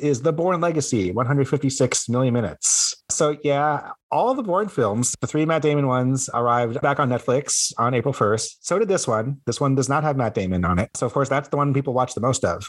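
A man speaks with an unremarkable speaking voice at a fairly high pitch and a moderate pace, with hardly any pauses, very even loudness and ordinary pitch variation, on a very clean recording with a silent background. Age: 40s. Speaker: content creator and gamer, podcast co-host. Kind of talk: casual chat.

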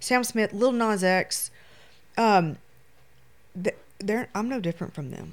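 On a very clean recording with a silent background, a woman with a Louisiana accent speaks at a fairly high pitch with very wide pitch swings. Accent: US Southern (Louisiana). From Shreveport, Louisiana. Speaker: photographer. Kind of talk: casual chat.

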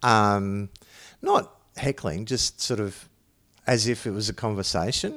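Long, frequent pauses break up a man's fairly slow speech in an Australian accent. His pitch is fairly low and his intonation fairly even. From Toowoomba region, Queensland, Australia. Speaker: comedian. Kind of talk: casual chat.

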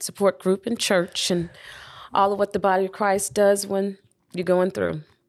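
A woman speaks with a Southern US accent. Her pitch is medium. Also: very clean recording, silent background. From US South, Birmingham, Alabama. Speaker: widow and mother of seven. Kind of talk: interview, personal testimony.

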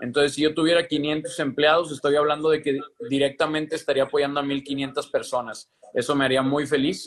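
A man with a Mexican accent speaks at a fairly quick pace and fairly high pitch. His intonation is monotone and flat, his loudness very even. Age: 20s. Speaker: entrepreneur, live stream host. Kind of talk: casual chat. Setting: Instagram live video.

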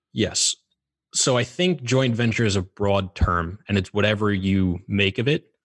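With a dry, close sound, no echo, and a very clean recording against a silent background, a man speaks in a fairly low pitch with ordinary pitch variation, a normal speaking voice. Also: fairly slow pace, very even loudness. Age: 20s. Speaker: real estate asset manager. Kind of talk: casual chat.

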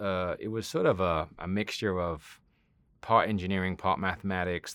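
With ordinary pitch variation, a man speaks at a very deep, low pitch. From Southwest England. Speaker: company CEO. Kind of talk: interview conversation.

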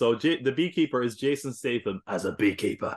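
A man with an Irish accent at medium pitch and a fairly quick pace, ordinary pitch variation, quiet background. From Ireland. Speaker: podcaster. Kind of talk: casual chat. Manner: animated.

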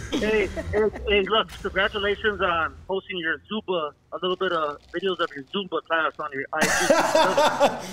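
A man projects his high voice at a fairly slow pace, with ordinary pitch variation. Noticeable background noise sits behind him. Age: 40s. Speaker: caller. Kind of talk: phone call-in. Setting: phone call.

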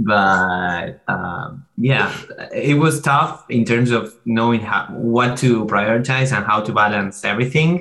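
A man speaks with a Spanish accent. His pace is very slow. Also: medium pitch for a man, ordinary pitch variation. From Argentina, Buenos Aires. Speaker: MBA student. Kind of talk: interview.

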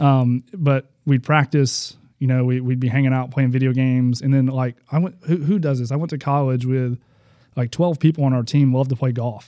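In an Alabama accent, the speaker talks at a moderate pace with fairly even intonation and a dark, mellow tone, the sound dry and close with no echo. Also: man, medium pitch for a man. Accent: Southern US (Alabama). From US South, Huntsville, Alabama. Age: 30s. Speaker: basketball coach sharing testimony. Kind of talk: faith testimony interview.

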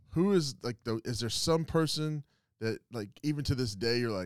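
Recorded dry and close with no echo against a silent background, the very clean clip has a man talking at a very fast pace. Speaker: podcast co-host, restaurant owner. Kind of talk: casual interview chat.

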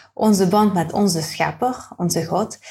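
A woman's medium-pitched, somewhat breathy voice with fairly even intonation comes through on a very clean recording with a silent background. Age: 30s. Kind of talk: casual interview. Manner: halting.

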